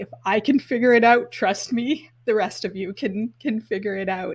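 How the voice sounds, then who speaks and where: On a very clean recording with a silent background, a woman speaks at a moderate pace in a fairly high, somewhat breathy voice with ordinary pitch variation. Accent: Canadian. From Canada, northern Alberta. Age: 50s. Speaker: sustainable events expert and event business founder. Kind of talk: podcast interview.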